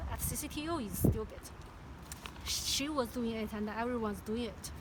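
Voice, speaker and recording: A Chinese accent at a moderate pace, with audible room echo and noticeable background noise. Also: woman. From China. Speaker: former clinical research coordinator. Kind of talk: personal testimony. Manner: halting, with many repetitions and fillers.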